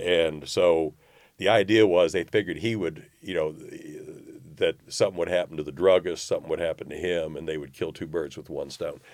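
A man speaks with an Arkansas accent. His pace is fairly quick. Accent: US Southern (Arkansas). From Arkansas, North Little Rock. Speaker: newspaper publisher. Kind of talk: interview. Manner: halting.

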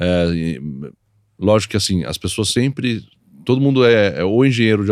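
A man speaks in an ordinary speaking voice at a fairly low pitch and moderate pace. The recording is very clean, with a silent background. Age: 40s. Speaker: motorsport series executive. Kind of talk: interview.

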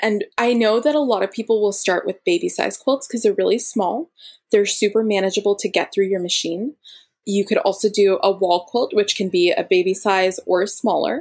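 With an American accent, a woman uses a plain, everyday voice, fairly high in pitch, with lively intonation at a moderate pace. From US, Florida. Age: 20s. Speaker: quilter and quilt pattern designer. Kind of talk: interview.

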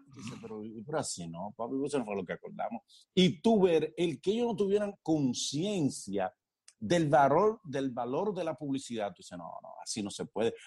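A man talks at a moderate pace. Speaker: actor and comedian. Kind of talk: casual interview.

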